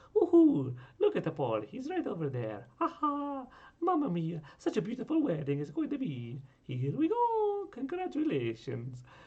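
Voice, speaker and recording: In a put-on character voice, a man speaks with an Italian accent, and the accent is part of the act. His pitch is high and his pace is moderate. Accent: exaggerated Italian. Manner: cheerful, excited.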